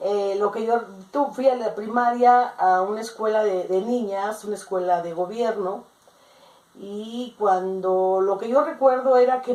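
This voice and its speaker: A woman with a fairly high voice and ordinary pitch variation talks at a fairly slow pace amid noticeable background noise. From Mexico, Jalisco. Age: 60s. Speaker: interviewed grandmother. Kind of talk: oral history interview.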